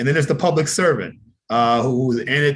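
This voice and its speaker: A man speaks at a moderate pace and medium pitch with ordinary pitch variation, in an ordinary speaking voice. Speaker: webinar presenter on civic advocacy. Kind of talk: presentation.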